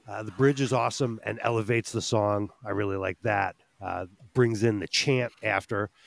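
In a very clean recording with a silent background and a dry, close sound with no echo, a man uses an ordinary speaking voice at a fairly low pitch, with fairly even intonation and a moderate pace. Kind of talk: casual chat.

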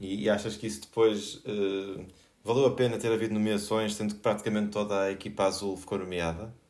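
In a room with audible echo, a man with a fairly low pitch speaks at a fairly quick pace and with fairly even intonation. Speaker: podcast host. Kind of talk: panel discussion. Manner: halting.

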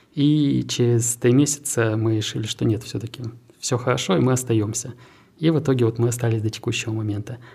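A man talks at a fairly quick pace with medium pitch and fairly even intonation. His tone is dark and mellow, and somewhat breathy. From Siberia, Krasnoyarsk. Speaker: tech park director. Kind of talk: interview.

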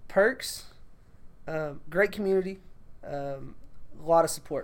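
With an American accent, a man speaks at a fairly slow pace and with fairly even intonation, with audible room echo. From Texas. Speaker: athletic trainer and teacher. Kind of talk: casual interview chat.

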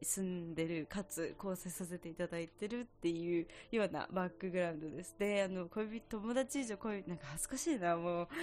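Talking at a fairly quick pace with hardly any pauses, a woman uses lively intonation and a fairly low pitch. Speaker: podcast host, music student. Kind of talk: casual monologue. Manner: fast.

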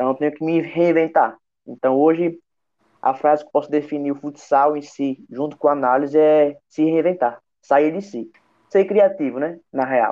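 In a plain, everyday voice, a man with a fairly high pitch speaks fairly slowly with ordinary pitch variation. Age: 20s. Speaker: futsal performance analyst. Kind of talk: podcast interview.

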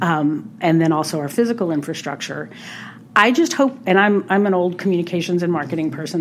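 A woman with an American accent uses an ordinary speaking voice at medium pitch and a fairly quick pace. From US South, New Orleans. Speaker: state senator. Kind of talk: interview.

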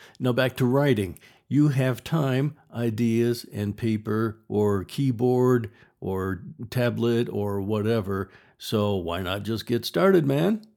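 A man talks at a very slow pace in a dark, mellow tone with ordinary pitch variation. The recording is very clean, with a silent background. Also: medium pitch for a man. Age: 60s. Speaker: podcast host and writer. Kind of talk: solo podcast monologue. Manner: casual, conversational.

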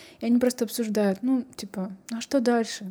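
Her tone is dark and mellow. The woman sounds somewhat breathy. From Kazakhstan. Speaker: podcast host. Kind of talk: casual interview chat.

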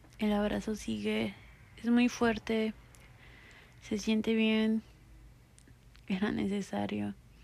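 Speaking in a Mexican accent, a woman talks at a very slow pace. Long, frequent pauses break up her speech. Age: 20s. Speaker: podcast host. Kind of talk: casual monologue; guided meditation.

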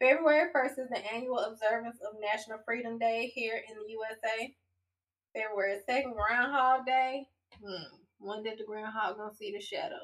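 A woman with a plain, everyday voice, a fairly high pitch, ordinary pitch variation, big swings in loudness and a moderate pace. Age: 40s. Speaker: podcast co-host. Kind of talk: casual chat.

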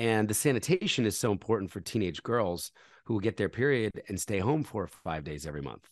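Over a quiet background, a man with a fairly low pitch talks at a very fast pace with lively intonation. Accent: American. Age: 40s. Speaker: charity founder. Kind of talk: interview.

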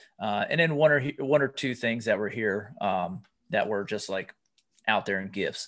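At a moderate pace and medium pitch, a man with an American accent and an unremarkable speaking voice talks with lively intonation over a quiet background. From US, Pennsylvania. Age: 40s. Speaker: life coach and author. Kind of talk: interview conversation.

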